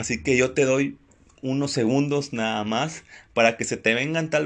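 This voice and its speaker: A man with an ordinary speaking voice talks at a fairly slow pace, his pitch medium. His pitch varies in an ordinary way over a quiet background. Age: 20s. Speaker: inspirational podcast host. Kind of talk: motivational monologue. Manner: warm, informal.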